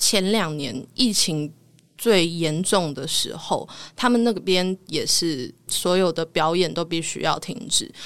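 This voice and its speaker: A woman speaks very slowly in a fairly low voice. The recording is very clean, with a silent background. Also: ordinary pitch variation. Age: 20s. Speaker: voice actor, podcast guest. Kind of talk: casual interview.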